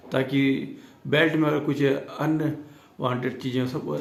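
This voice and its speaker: Amid audible room echo, a man with a fairly high pitch speaks with ordinary pitch variation. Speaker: teacher. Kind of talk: tutorial. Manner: slow, with pauses.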